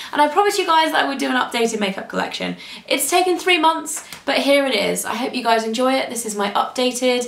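Audible room echo surrounds a woman talking at a very fast pace with a high pitch. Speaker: beauty blogger. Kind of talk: casual vlog chat. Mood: cheerful, friendly. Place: home room.

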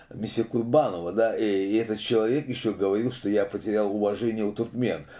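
A man's dark, mellow tone at fairly low pitch. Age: 60s. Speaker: opposition video blogger. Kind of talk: casual monologue commentary. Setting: video monologue to camera. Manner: filler-heavy, halting. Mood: critical, earnest. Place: home room. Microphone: phone near.

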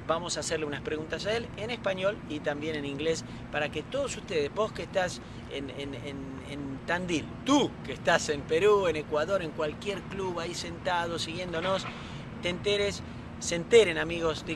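A man speaks with a high pitch over noticeable background noise. The sound is dry with no echo. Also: ordinary pitch variation, moderate pace. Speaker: tennis coach interviewer. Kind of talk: interview intro. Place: stadium.

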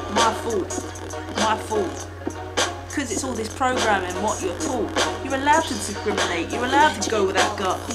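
Loud music plays in the background as the voice moves at a moderate pace. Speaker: vlogger. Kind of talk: rhythmic spoken-word rant. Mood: angry, indignant. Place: home room. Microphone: phone near.

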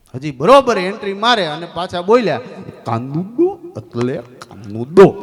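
Noticeable background noise accompanies a man whose high-pitched voice makes very wide pitch swings. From Gujarat, India. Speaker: comedian. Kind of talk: stand-up. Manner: animated.

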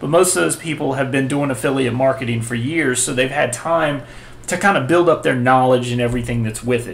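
A man's voice shows ordinary pitch variation as he talks at a moderate pace. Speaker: website tutorial host. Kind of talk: tutorial. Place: home room.

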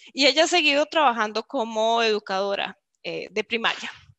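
In a dry recording with no echo and a quiet background, a woman talks at a moderate pace in a fairly high, bright, sharp voice with ordinary pitch variation. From Costa Rica, San Carlos (northern zone); Costa Rica. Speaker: marketing executive and speaker; webinar presenter. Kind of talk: virtual talk / presentation. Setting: online video event. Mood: warm, friendly. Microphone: video call.

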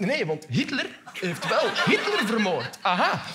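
A man, with light background noise. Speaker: comedian. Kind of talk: stand-up comedy monologue. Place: stage.

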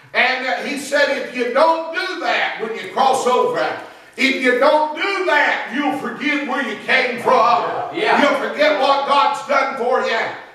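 A man at a fairly slow pace, his pitch extremely high, his tone animated and his voice raised and projected, with ordinary pitch variation and strong room echo. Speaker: guest revival preacher. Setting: church. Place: church. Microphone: camera far.

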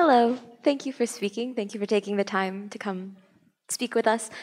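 A woman's ordinary speaking voice at a moderate pace, fairly even intonation, quiet background. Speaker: audience member. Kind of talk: audience question. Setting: stage with audience. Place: hall.

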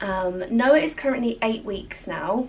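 Music plays behind a woman as she talks. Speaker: new mother vlogger. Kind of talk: casual vlog chat. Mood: warm, gentle, upbeat. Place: home room. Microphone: camera far.

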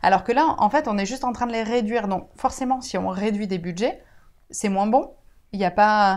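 With a quiet background behind her, a woman talks at a moderate speed and her pitch varies in an ordinary way. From France, Bordeaux; France. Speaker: teacher of deaf pupils. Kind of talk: interview. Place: home room. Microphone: lapel.

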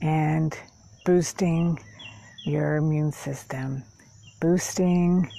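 A woman speaks at a very slow pace with long, frequent pauses, her very deep, low voice somewhat breathy, dark and mellow. Her calm, soothing tone keeps fairly even intonation, and the sound is dry with no echo. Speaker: meditation guide and therapist. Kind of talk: guided meditation. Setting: outdoors in a park, filmed on camera. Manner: slow, calm, soothing. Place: garden. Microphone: phone near.

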